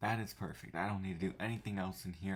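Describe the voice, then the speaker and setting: This man has a very deep, low pitch. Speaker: gaming YouTuber. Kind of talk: gameplay tutorial. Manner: speaking quietly; casual, thinking aloud.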